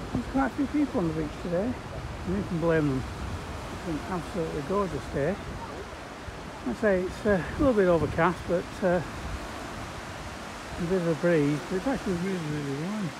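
The sound is dry with no echo, though noticeable background noise is present. A woman speaks at a fairly quick pace. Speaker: travel vlogger. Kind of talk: casual vlog chat. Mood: cheerful, relaxed. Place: street. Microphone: phone near.

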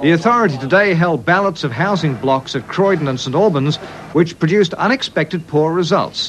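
A man's high-pitched voice with lively intonation at a fairly quick pace, over noticeable background noise. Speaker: TV newsreader. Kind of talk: TV news bulletin.

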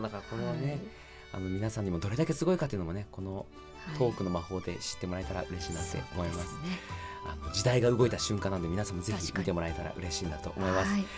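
A man speaks at a very fast pace with lively intonation and a fairly low pitch. Clear music plays in the background. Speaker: voice actor. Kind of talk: casual radio-style talk. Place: studio. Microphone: studio mic.

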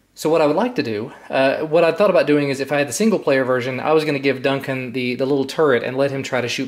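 Here a man is talking. His pace is very fast. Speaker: vlogger. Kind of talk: casual vlog chat. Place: home room. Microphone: phone near.

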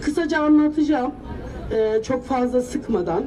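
A woman's voice with crowd noise in the background. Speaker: local resident affected by the project. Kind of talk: rally speech. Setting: outdoors at a protest. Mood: earnest, aggrieved. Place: street. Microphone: handheld.

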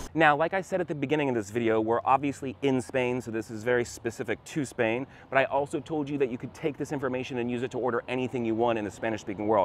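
A man speaks at a very fast pace in an American accent. Light background noise sits in a dry sound with no echo. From United States. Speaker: Spanish teacher. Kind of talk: casual talk to camera. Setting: outdoors. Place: street. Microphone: lapel.

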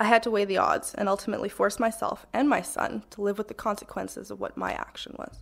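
With vocal fry and fairly even intonation, a woman speaks at a fairly quick pace. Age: 20s. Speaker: panelist, young mother with vision loss. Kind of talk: personal testimony speech. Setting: stage with microphone and audience. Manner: partly read from paper.

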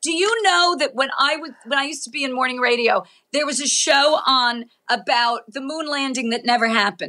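A woman's high, raised, projected voice with a bright, sharp tone, lively intonation and a fairly quick pace against a quiet background. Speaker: comedian and podcast host; comedian, podcast host. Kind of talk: casual chat. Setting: video call. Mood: animated, joking, opinionated. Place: home room. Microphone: video call.

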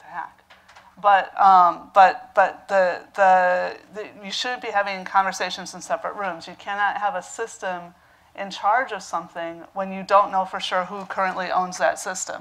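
With fairly even intonation, a woman keeps up a moderate pace as she talks. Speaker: panelist, computer science professor. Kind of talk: panel discussion remarks. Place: stage.

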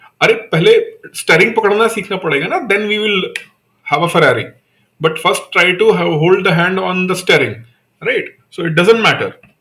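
A man speaks with an Indian accent at a moderate pace. His pauses are long and frequent. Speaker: online exam-prep teacher. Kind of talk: live online lecture. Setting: live video class. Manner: conversational, repetitive with frequent fillers. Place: home room. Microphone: webcam.

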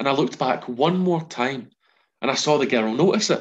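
A man is talking. His pace is fairly quick, and the background stays quiet. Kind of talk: storytelling monologue. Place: home room. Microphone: video call.

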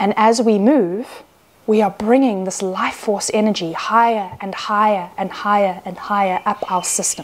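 With fairly even intonation, the woman talks at a moderate pace. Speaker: Gnostic nun and priestess. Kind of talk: sermon, spiritual teaching to camera. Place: home room.

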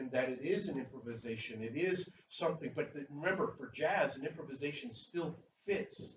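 A man speaks in a somewhat breathy voice. Audible room echo and light background noise are present. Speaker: preacher. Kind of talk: sermon. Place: church. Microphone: camera far.

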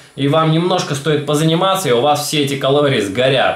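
A man's voice with audible room echo. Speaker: fitness vlogger. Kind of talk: casual vlog chat. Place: home room. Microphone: phone near.

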